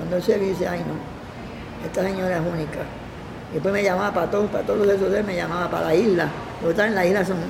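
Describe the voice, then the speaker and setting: Over noticeable background noise and audible room echo, a woman talks at a very fast pace in a monotone, flat intonation at medium pitch. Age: 80s+. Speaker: television makeup artist. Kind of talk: interview. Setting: care home.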